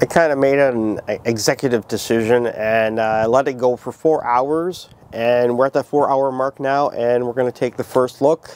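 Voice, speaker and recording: A man with fairly even intonation, a dry, close sound with no echo, and noticeable background noise. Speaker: cooking video creator. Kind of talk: cooking tutorial. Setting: outdoors.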